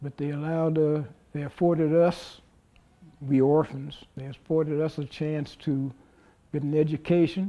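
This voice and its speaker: In an American accent, the voice has a dark, mellow tone and flat, monotone intonation, moving at a moderate pace broken by long, frequent pauses. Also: man, fairly high pitch for a man. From Columbus, Ohio. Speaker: university alumnus. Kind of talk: oral history interview.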